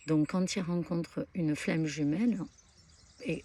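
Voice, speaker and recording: Soft-spoken and dark, mellow in tone, the voice moves at a fairly slow pace. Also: woman. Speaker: spiritual content creator. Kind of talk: spiritual talk to camera. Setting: outdoors at a pilgrimage site. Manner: hesitant, many fillers.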